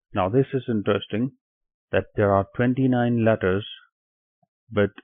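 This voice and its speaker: A man with a Pakistani accent speaks with fairly even intonation. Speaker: online Quran teacher. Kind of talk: tutorial. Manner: hesitant, with filler words.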